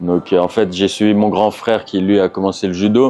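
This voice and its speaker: A man with a very deep, low voice speaks with fairly even intonation. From France. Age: 30s. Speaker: professional MMA fighter. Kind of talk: interview. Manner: halting, many hesitations.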